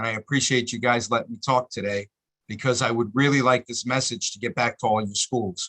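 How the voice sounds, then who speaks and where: A man's medium-pitched, bright, sharp voice at a fairly quick pace, fairly even in intonation, dry and close with no echo. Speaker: community activist. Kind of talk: public comment at a meeting. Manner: fast.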